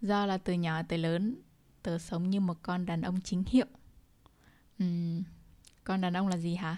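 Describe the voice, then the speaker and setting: A dark, mellow tone at a fairly slow pace, with fairly even intonation and long, frequent pauses. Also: woman, fairly low pitch for a woman. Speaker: podcast host. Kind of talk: casual monologue.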